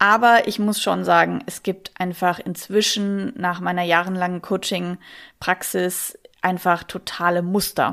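A woman with a slight Bavarian accent speaks at a very slow pace in a medium pitch and a monotone, flat intonation, on a very clean recording with a silent background. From Munich, Bavaria. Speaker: sex coach. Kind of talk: interview.

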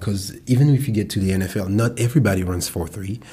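A man with a French accent, a dark, mellow, somewhat breathy tone, fairly even intonation and a fairly quick pace. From France. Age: 30s. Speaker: professional football player. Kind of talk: casual chat.

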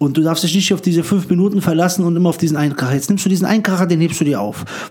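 A man speaks very fast in a high-pitched voice. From former Yugoslavia, raised in Frankfurt-Höchst. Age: 30s. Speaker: stand-up comedian. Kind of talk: casual interview chat. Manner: talkative.

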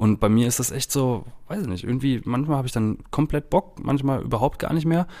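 This man has an ordinary speaking voice at a medium pitch, moving at a moderate pace with ordinary pitch variation in a very clean recording against a silent background. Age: 30s. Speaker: podcast host. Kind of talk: casual chat.

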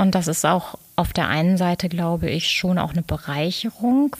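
A somewhat breathy, fairly low female voice at a fairly slow pace, with ordinary pitch variation. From Ruhr area, Germany (Dortmund, Lünen). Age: 40s. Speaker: business coach and designer. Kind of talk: interview.

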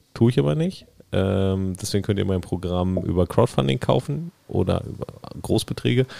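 With a dark, mellow tone, a man talks at a moderate pace, his fairly low voice carried by lively intonation. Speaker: podcast participant. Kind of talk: casual chat.

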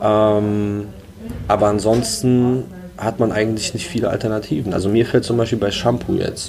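Against noticeable background noise, a man speaks at a moderate pace and a fairly low pitch with fairly even intonation. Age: 20s. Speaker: startup co-founder. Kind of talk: interview.

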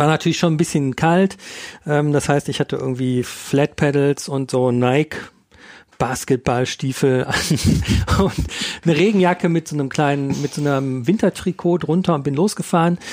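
Here is a man with a normal speaking voice, a fairly high pitch and ordinary pitch variation at a moderate pace. The sound is dry and close, with no echo. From Ruhr area, western Germany. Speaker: magazine editor and podcast host. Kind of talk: casual chat.

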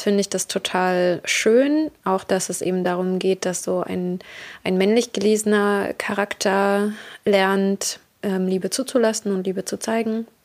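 Her intonation is fairly level. This woman talks very slowly. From Berlin, Germany. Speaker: podcast host. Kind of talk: casual monologue.

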